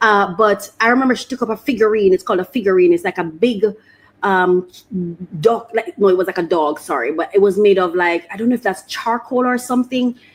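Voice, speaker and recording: A woman speaks at a fairly quick pace in a medium pitch, with ordinary pitch variation. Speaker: podcast host. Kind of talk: solo podcast monologue. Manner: fast; halting, many repetitions.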